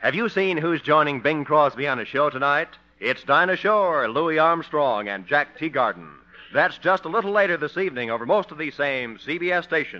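At a moderate pace, a man talks in a normal speaking voice at a fairly high pitch, his intonation lively. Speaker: radio announcer. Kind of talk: scripted radio announcing and narration. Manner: smooth, formal, polished.

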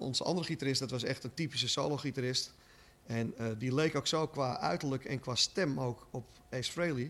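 This man uses a normal speaking voice, pitched in the medium range. He speaks at a fairly quick pace, and his pitch varies in an ordinary way. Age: 50s. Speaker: shop owner and rock fan. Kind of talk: interview.

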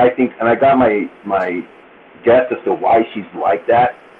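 A man with a medium-pitched voice talks over noticeable background noise. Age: 40s. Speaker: podcast guest. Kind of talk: casual chat.

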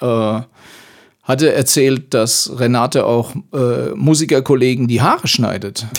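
Talking at a fairly slow pace, a man uses a medium pitch with ordinary pitch variation. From Palatinate, Germany (Ellerstadt). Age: 60s. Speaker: blues musician and music teacher. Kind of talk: casual interview. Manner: hesitant, many filler sounds.

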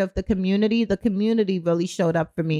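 At a fairly quick pace, a woman speaks in a plain, everyday voice with fairly even intonation, the sound dry and close with no echo. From born in Kingston, Jamaica; grew up in Brooklyn, New York. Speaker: t-shirt brand founder and entrepreneur. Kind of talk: casual interview. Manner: conversational, many fillers.

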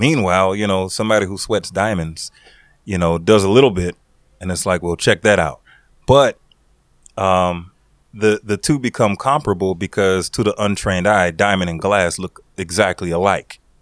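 Against a quiet background, a man with a very deep, low pitch talks at a moderate pace with ordinary pitch variation and a dry, close sound with no echo. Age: 40s. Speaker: podcast co-host. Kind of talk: casual chat. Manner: halting, many fillers.

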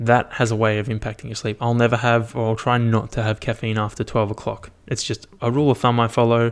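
On a very clean recording with a silent background, a man with an Australian accent talks at a very fast pace in a flat monotone, with hardly any pauses. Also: medium pitch for a man. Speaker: solo podcaster, fitness and wellbeing. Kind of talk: casual solo monologue. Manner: casual, filler-heavy.

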